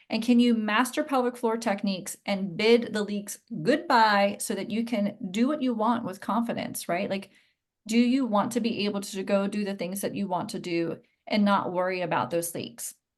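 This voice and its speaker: A woman with a plain, everyday voice speaks at a medium pitch and moderate pace, with ordinary pitch variation and a quiet background. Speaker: pelvic floor and core specialist, Pilates teacher. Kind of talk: online masterclass lecture. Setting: live video class from home.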